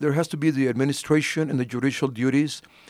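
A man talks in an ordinary speaking voice, his pitch varying in an ordinary way. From Alpine, West Texas. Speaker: ordained minister and county judge candidate. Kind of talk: interview.

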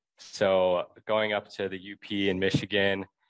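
Against a quiet background, a man speaks at a fairly low pitch, the sound dry and close with no echo. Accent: American. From Wisconsin, Milwaukee. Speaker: packaging student and intern. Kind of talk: casual interview.

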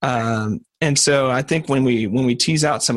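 Medium in pitch with ordinary pitch variation, a man speaks in a plain, everyday voice. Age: 30s. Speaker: podcast host. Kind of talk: interview conversation. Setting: recorded call.

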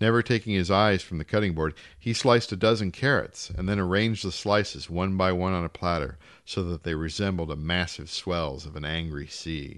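Ordinary pitch variation at a fairly quick pace. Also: man, very deep, low pitch for a man. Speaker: audiobook reader. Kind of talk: literary audiobook reading of a short story. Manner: measured, polished literary narration.

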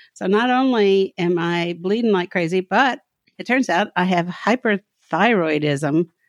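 Speaking with a Southern US accent, a woman with a fairly low pitch and ordinary pitch variation talks at a fairly slow pace in a dry, close sound with no echo. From US South, Kentucky. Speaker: professor and writer. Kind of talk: personal testimony in interview. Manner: halting, many fillers.

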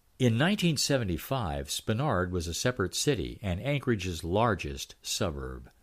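A man speaks with very wide pitch swings at a fairly low pitch, a fairly slow pace and hardly any pauses, his warm, relaxed tone touched with vocal fry, on a very clean recording with a silent background. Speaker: newsletter storyteller; local history storyteller. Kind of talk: history documentary narration, read-aloud newsletter. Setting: recorded audio reading. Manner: steady, warm storyteller pacing, relaxed and amused; animated, chuckling at anecdotes.

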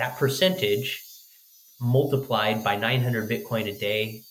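Speaking at a very slow pace with an American accent, this voice comes through audible room echo and noticeable background noise. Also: man. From US, southern Oregon coast. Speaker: company executive. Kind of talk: interview answers. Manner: hesitant, with fillers.

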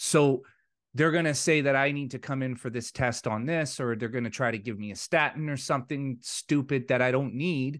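A man with an ordinary speaking voice at a moderate pace against a quiet background. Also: medium pitch for a man, fairly even intonation. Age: 40s. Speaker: podcast host. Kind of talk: casual chat.

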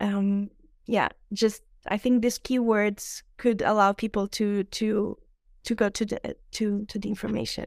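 In a Portuguese accent, a woman speaks at a fairly slow pace with monotone, flat intonation. The recording is very clean, with a silent background. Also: fairly high pitch for a woman, dry, close sound with no echo. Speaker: ecologist and impact investor. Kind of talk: casual interview conversation. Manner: halting, searching for words.

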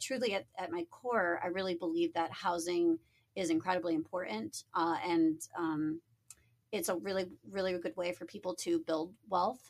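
In an American accent, a woman speaks at a moderate pace with a medium pitch and ordinary pitch variation. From Niagara Falls, New York. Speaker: small-scale real estate developer. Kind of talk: casual interview. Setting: studio. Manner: animated.

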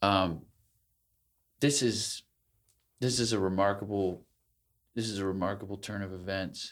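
Over a silent background in a very clean recording, a man with a fairly low pitch speaks at a moderate pace, using fairly even intonation and long, frequent pauses. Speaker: podcast co-host. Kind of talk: casual intellectual conversation. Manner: halting.

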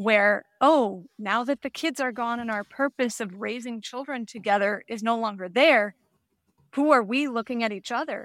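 A woman with a plain, everyday voice speaks at a fairly slow pace with a fairly high pitch and ordinary pitch variation, recorded dry and close with no echo in a very clean recording over a silent background. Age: 40s. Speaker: midlife mindset coach. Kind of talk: interview.

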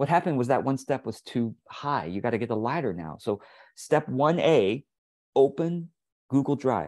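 With an American accent and vocal fry, a man talks at a medium pitch and a moderate pace. His intonation is lively, and the background is quiet. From Taiwan, raised in the United States. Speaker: business coach. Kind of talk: casual solo talk. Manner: halting, many fillers.

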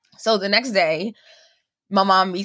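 A woman's medium-pitched voice, bright and sharp in tone, on a very clean recording with a silent background. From Cuba. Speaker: cancer survivor. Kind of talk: testimony.

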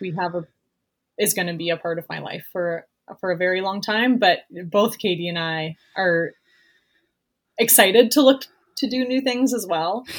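In a very clean recording with a silent background, a woman with a western Canadian accent speaks at a moderate pace with lively intonation. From Canada, Vancouver Island (Campbell River). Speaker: entrepreneur. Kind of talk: casual interview.

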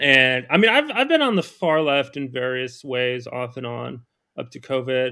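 This is a man with an ordinary speaking voice. He talks at a moderate pace in a very clean recording with a silent background. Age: 30s. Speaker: political commentator. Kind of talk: casual chat.

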